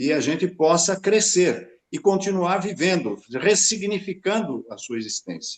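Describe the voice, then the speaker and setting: Speaking at a fairly slow pace, a high-pitched man uses lively intonation. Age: 70s. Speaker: retired professor. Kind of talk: panel discussion.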